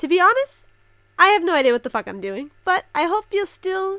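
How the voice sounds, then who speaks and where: A woman speaks in a raised, projected voice with a bright, sharp, animated tone. Her pitch swings very widely at a moderate pace. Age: 20s. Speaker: reaction youtuber. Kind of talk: casual reaction commentary.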